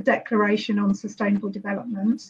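Speaking with a British accent, a woman sounds somewhat breathy, her intonation monotone and flat. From UK. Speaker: social entrepreneur; panelist. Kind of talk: panel discussion. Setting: video call from eco village. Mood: calm, reflective. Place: home room. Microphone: video call.

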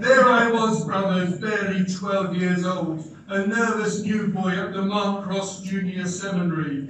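A high-pitched male voice with fairly even intonation and hardly any pauses, in strong room echo with light background noise. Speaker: club president. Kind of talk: competition speech. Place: hall. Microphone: camera far.

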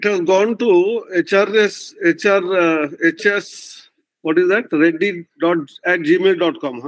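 Over a quiet background, a man talks in a high voice with ordinary pitch variation. His pace is very slow. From India. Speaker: professor, education regulator chairman, chief guest speaker; guest lecturer. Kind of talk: lecture. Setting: video call.

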